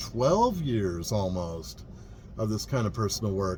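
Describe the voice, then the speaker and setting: A man speaks at a very slow pace in a relaxed tone. Room echo is audible. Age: 50s. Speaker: vlogger, vintage RV traveler. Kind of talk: casual vlog monologue. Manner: relaxed, reflective.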